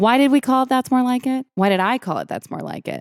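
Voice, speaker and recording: A woman speaks in an animated tone with a Southern California accent at a fairly quick pace. The recording is very clean with a silent background and a dry, close sound with no echo. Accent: valley girl sound. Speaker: podcast host. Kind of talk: casual chat.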